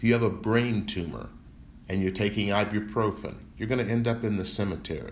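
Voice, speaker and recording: With an American accent, a man speaks at a moderate pace in a fairly low pitch with fairly even intonation and audible room echo. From US South, Memphis, Tennessee. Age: 60s. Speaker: civil rights lawyer. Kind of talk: interview.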